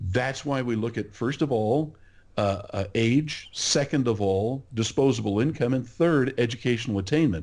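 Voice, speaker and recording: Against a quiet background, a man talks at medium pitch with ordinary pitch variation in an ordinary speaking voice. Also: moderate pace. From California. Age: 60s. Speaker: market researcher. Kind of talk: podcast interview.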